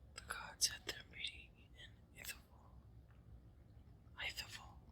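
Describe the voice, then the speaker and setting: Someone whispers at a fairly slow pace. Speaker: ASMR creator. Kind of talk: ASMR reading of a mythological poem. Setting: outdoors. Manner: whispered.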